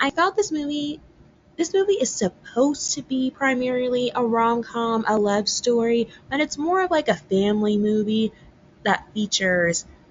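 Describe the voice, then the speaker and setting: Noticeable background noise sits behind a woman speaking at a moderate pace. Her high pitch moves in very wide swings. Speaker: podcast host. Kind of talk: casual commentary. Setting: at parents' house.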